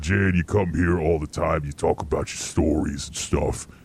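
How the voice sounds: A put-on character voice from a man with a New York accent, very deep and low in pitch, at a moderate pace against clear background noise.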